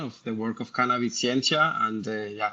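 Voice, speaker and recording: A man with a Spanish accent speaks in a medium pitch with a bright, sharp tone. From Colombia. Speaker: structural biologist. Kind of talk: interview. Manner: halting with many fillers.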